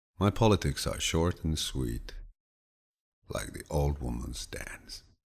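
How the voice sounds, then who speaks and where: A man's soothing, fairly slow speech with vocal fry and lively intonation. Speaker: voice actor. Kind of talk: audiobook reading of quotes. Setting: studio. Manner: relaxing, soothing.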